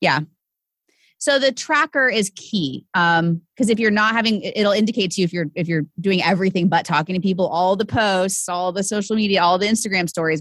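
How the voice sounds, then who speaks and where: In a very clean recording with a silent background and a dry, close sound with no echo, a woman with a normal speaking voice talks at a fairly quick pace, her medium pitch showing ordinary variation and her loudness very even. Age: 30s. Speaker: sales and business coach. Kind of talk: casual interview chat.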